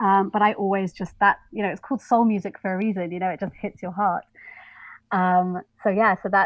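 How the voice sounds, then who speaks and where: A woman with an English accent talks at a fairly quick pace. Her intonation stays monotone and flat. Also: medium pitch for a woman. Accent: English, posh. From London, England. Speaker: soul and jazz singer. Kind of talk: interview.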